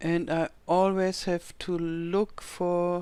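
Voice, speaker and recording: In a German accent, a woman speaks with a fairly low pitch on a very clean recording with a silent background. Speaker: video game youtuber. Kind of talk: gameplay commentary. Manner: halting.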